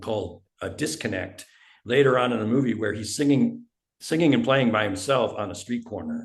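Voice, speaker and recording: Lively intonation at a moderate pace, somewhat breathy throughout. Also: man. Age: 70s. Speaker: indie musician. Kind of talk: interview.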